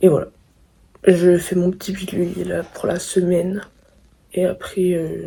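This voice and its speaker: At medium pitch, a woman talks at a fairly slow pace in a monotone, flat intonation, with long, frequent pauses. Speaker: student vlogger. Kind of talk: vlog.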